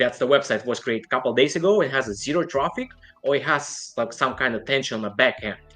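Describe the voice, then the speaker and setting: A man speaks with a non-native accent. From outside the United States. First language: not English. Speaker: online seller. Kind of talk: interview.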